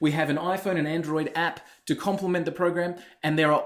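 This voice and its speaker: The pace is fairly quick. A man speaks with a fairly high pitch. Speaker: webinar presenter selling a software business opportunity. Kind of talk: sales pitch. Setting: online webinar. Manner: fast.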